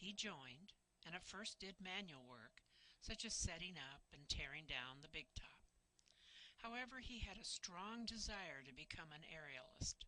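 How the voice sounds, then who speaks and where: A woman's fairly low voice with a bright, sharp tone, lively intonation and a moderate pace. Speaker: family historian narrating documentary. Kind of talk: scripted narration.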